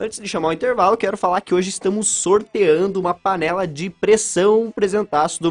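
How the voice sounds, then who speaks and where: In a dry, close sound free of echo, a man talks at a moderate pace. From Paraná, Brazil (São Mateus do Sul). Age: 20s. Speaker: radio host. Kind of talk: live radio interview.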